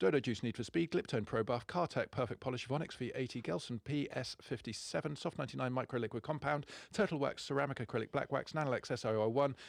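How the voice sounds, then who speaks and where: This man rushes through his words at a very fast pace. He holds a medium pitch that varies in an ordinary way. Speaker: car detailing magazine podcast host. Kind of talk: casual podcast discussion. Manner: fast listing.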